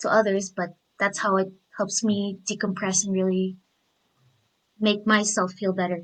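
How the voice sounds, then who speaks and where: A woman with a non-native accent at a moderate pace, in a monotone, flat intonation. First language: not English. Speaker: discussion participant. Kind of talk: casual group discussion.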